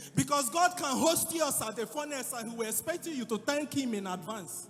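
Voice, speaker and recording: Music plays in the background as a passionate tone carries lively intonation. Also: man. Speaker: preacher / spoken word artist. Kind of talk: sermon preaching to an audience. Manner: passionate, exhorting.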